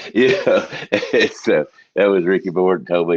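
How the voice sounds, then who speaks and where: A Southern US accent comes through. The delivery has a moderate pace. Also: man. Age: 60s. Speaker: podcast host. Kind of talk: casual chat.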